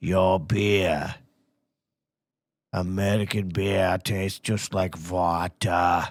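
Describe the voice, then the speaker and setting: A man puts on a raspy character voice in a strong German accent, very deep and low, with monotone, flat intonation. He speaks at a very slow pace with long, frequent pauses, on a very clean recording with a silent background. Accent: heavy German. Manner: gruff, teasing.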